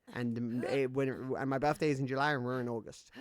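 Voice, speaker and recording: A man talks at a fairly quick pace with a British accent. His pitch sits in the medium range. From Britain. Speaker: gaming streamer. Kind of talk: casual live-stream gaming chat.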